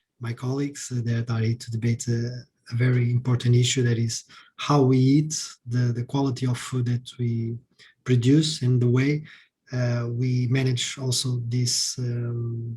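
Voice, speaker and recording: Monotone and flat in intonation, a man speaks at medium pitch and a fairly slow pace with a dark, mellow, somewhat breathy tone. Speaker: member of European Parliament. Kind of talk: panel talk.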